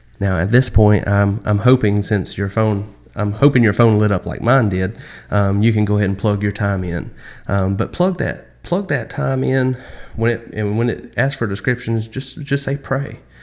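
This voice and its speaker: Over a silent background in a very clean recording, a man talks at a moderate pace with ordinary pitch variation. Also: fairly low pitch for a man. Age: 20s. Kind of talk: Bible study talk. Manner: hesitant, many fillers.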